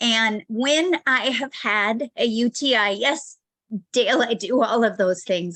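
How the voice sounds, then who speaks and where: A woman's bright, sharp tone carries ordinary pitch variation in a dry, close sound with no echo. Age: 60s. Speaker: essential oils wellness presenter. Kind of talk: product testimony on a video call. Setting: video call. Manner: casual, hesitant with fillers.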